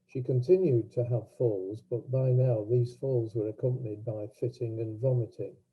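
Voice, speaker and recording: A man talks at a moderate pace in a medium pitch. His somewhat breathy voice keeps fairly even intonation. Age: 80s+. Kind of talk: personal talk at online event. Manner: halting.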